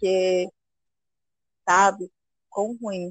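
In a dry, close sound with no echo, a woman of medium pitch speaks at a very slow pace. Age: 20s. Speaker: café worker, host's girlfriend. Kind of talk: casual interview.

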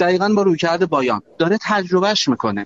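The delivery runs at a very fast pace. The intonation is lively. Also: man. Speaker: banking tech company CEO. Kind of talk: live panel discussion.

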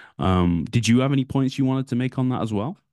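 With a British accent and a dark, mellow tone, a man speaks at a very fast pace. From United Kingdom. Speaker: podcast co-host, Google Ads agency marketer. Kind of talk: casual chat. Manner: frequent fillers like you know and kinda.

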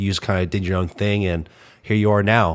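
A man talks at a very fast pace. His pitch is fairly low. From Arkansas. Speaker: podcast host. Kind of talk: casual interview chat.

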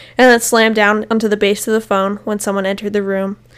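A woman talks at a very fast pace in a fairly high pitch. Her intonation stays monotone and flat. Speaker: podcast host. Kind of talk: storytelling in casual chat.

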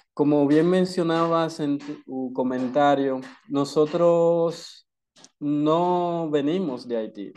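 A man with a Dominican accent speaks in a fairly high pitch with ordinary pitch variation. His tone is dark and mellow, against a quiet background. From Dominican Republic. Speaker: activist. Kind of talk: interview.

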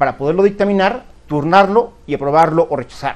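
A man talks at a fairly quick pace. His pitch is high and varies in an ordinary way. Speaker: economics commentator. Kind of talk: opinion monologue. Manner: halting.

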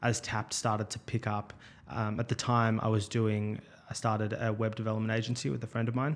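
A man with an Australian accent speaks at a moderate pace in a fairly low pitch and a flat, monotone intonation. The recording is very clean, with a silent background. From Melbourne, Australia. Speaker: startup founder. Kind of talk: interview. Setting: studio, face-to-face.

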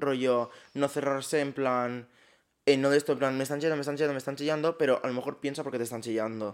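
A man with a fairly high pitch races along at a very fast pace in an animated tone. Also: very clean recording, silent background. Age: 20s. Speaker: podcast co-host. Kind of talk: casual chat.

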